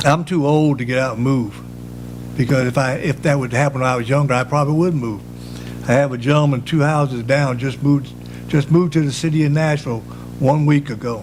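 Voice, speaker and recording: A man talks at a fairly quick pace, his fairly high voice somewhat breathy and his intonation fairly even. Audible room echo surrounds the recording. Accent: North Carolina. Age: 70s. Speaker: public commenter, resident. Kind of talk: public comment at council meeting. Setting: town council meeting.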